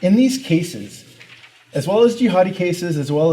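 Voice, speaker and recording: A man with a Canadian accent uses an ordinary speaking voice at a moderate pace. His intonation is lively. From Canada. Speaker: researcher. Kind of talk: conference presentation.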